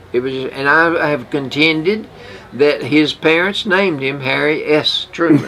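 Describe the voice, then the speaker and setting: Noticeable background noise sits behind a man with a fairly high pitch. He talks fairly slowly, his pitch varying in an ordinary way. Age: 80s+. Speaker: radio show co-host. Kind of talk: casual chat. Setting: radio studio.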